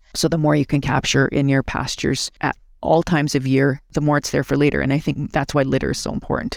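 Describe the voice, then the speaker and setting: The recording is very clean and the background silent. A woman talks very fast. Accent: Canadian prairie. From rural central Alberta, Canada. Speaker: executive director of a conservation charity. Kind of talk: interview.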